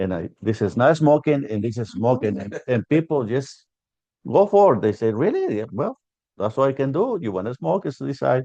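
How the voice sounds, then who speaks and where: The man's dark, mellow tone moves through very wide pitch swings at a moderate pace. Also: medium pitch for a man, dry, close sound with no echo. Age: 70s. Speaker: restaurant owner. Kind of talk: oral history interview. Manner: halting, with many fillers.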